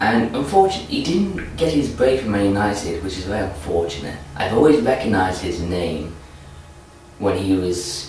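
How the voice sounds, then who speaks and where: Amid noticeable background noise and audible room echo, a man with a fairly low voice speaks at a moderate pace, his pitch swinging very widely. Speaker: football vlogger. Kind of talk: casual vlog commentary. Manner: repetitive restarts.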